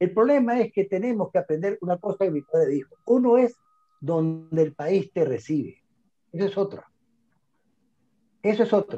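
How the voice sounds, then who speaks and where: A man speaks at a moderate pace in a high voice with a dark, mellow tone. His intonation is lively, and the sound is dry and close with no echo. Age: 60s. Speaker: immigration consultant. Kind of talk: interview conversation.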